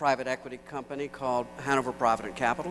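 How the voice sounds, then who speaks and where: A man speaks at a medium pitch in a monotone, flat intonation. Noticeable background noise can be heard. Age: 60s. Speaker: economist and keynote speaker. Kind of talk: keynote speech. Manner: halting.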